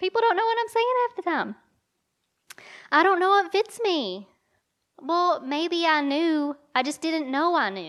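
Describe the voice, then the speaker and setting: A woman with an Eastern Kentucky accent, extremely high-pitched with very wide pitch swings, at a fairly slow pace with long, frequent pauses. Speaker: women's conference speaker. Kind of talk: sermon. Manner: animated.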